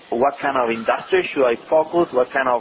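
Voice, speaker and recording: In a Spanish accent, a man talks at a moderate pace and fairly high pitch with ordinary pitch variation, amid noticeable background noise. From Chile. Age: 30s. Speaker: entrepreneur and civil engineer. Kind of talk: business consultation.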